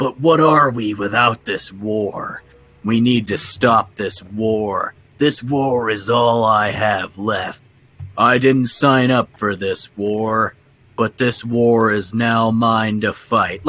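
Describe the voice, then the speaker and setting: Here a man puts on a character voice at medium pitch. His pace is very slow. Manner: wooden, drawn-out, overly dramatic.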